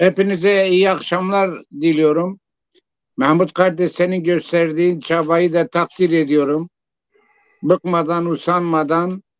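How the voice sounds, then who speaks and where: A man with a high voice talks very slowly in a monotone, flat delivery at very even loudness. The sound is dry and close, with no echo. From southeastern Turkey, Siverek. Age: 70s. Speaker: poet and engineer. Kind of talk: interview.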